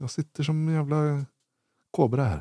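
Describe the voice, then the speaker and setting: Recorded dry and close with no echo and a silent background, a man talks in a normal speaking voice at a fairly high pitch and a moderate pace. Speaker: disc golf podcast co-host. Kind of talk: casual chat.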